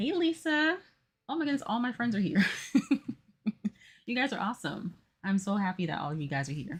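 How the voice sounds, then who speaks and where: Soft-spoken and somewhat breathy, a woman with an American accent makes very wide pitch swings on a very clean recording with a silent background. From Florida. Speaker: puzzle streamer. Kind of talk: casual live stream chat. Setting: home office live stream.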